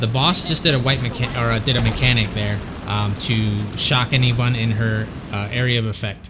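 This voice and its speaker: Music plays in the background. A man is speaking. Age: 40s. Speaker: gamer. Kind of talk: game walkthrough commentary. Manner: casual, hesitant with fillers.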